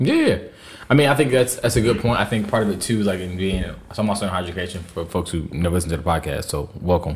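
A man's very deep, low voice, somewhat breathy, with lively intonation at a very fast pace. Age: 20s. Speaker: podcast host. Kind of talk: casual chat.

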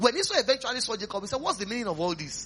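Through noticeable background noise, a man with a Nigerian accent uses a raised, projected voice, his tone animated and his intonation lively. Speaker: pastor. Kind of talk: revival sermon retelling Bible stories to a live congregation. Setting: church. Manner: animated storytelling with rhetorical questions and chuckles; repetitive, emphatic exhortation leading call-and-response prayer.

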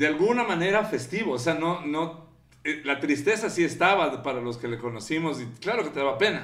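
A man's plain, everyday voice, fairly high in pitch, with lively intonation at a fairly quick pace. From Quito, Ecuador. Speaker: podcast host. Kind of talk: casual chat. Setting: bookstore studio.

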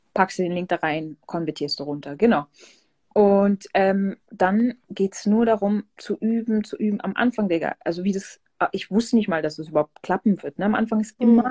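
The voice has a dark, mellow tone, somewhat breathy, with ordinary pitch variation at a moderate pace. The sound is dry and close with no echo. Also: woman, medium pitch for a woman. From southern Germany, Pforzheim. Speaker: DJ and music producer. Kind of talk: casual interview.

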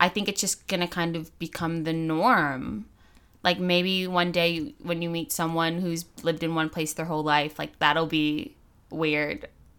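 Speaking in an ordinary speaking voice with an American accent, a woman with a fairly low pitch uses fairly even intonation at a fairly slow pace. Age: 20s. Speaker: law student. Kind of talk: casual chat.

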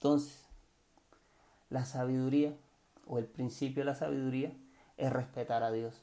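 A man with a medium-pitched, dark, mellow voice talks at a fairly slow pace in a flat monotone, leaving long, frequent pauses. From Cartagena, Colombian Caribbean coast. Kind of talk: casual devotional monologue. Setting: home recording at night. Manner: hesitant, many fillers and repetitions.

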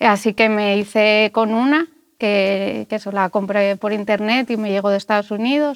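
An ordinary speaking voice at a moderate pace, with fairly even intonation. The sound is dry and close, with no echo. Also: woman, fairly high pitch for a woman. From Spain, Asturias (Gijón). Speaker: musician. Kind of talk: interview.

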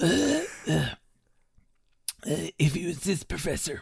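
This is a put-on character voice. It is raspy, with a middle pitch.

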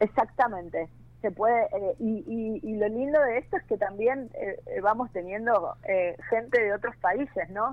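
A woman speaks at a fairly slow pace in a Rioplatense accent, her fairly high voice showing ordinary pitch variation. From Buenos Aires, Argentina. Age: 40s. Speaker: mechanic and social media influencer. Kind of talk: interview. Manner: hesitant, many fillers and repetitions.

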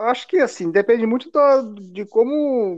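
Moderate-paced speech from a man, set against a quiet background. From interior of São Paulo state, Brazil. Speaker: podcast co-host. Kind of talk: casual chat. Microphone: delayed connection.

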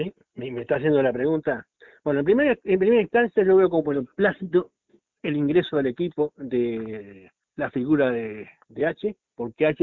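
A man with a normal speaking voice talks at a moderate pace, his fairly high pitch carried by lively intonation. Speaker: football podcast co-host. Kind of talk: casual sports talk. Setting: remote call with co-host. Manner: formal.

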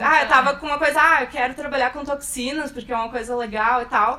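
A woman speaks in a high, raised, projected voice with fairly even intonation. Noticeable background noise runs underneath. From Rio Grande do Sul, Brazil. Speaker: bioinformatics researcher. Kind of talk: casual chat. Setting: recorded in person at a course.

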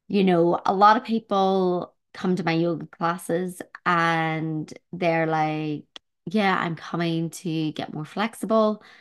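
Against a quiet background, a woman speaks at a very slow pace with a fairly low pitch. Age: 40s. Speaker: health coach and yoga teacher. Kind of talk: solo podcast monologue.

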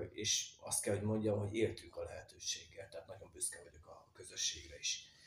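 Audible room echo is present. The delivery keeps a moderate pace. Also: man. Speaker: potter. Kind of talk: interview.

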